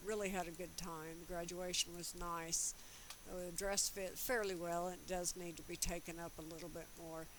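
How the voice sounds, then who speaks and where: With fairly even intonation, a woman talks at a fairly low pitch amid audible room echo. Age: 60s. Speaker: custom sewing tutor, YouTuber. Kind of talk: tutorial with casual chat. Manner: conversational, rambling with fillers.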